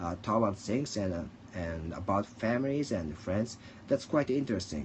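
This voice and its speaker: A man speaks with a Japanese accent and lively intonation. His fairly low voice is somewhat breathy. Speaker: livestreamer. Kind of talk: casual monologue. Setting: at home. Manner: halting.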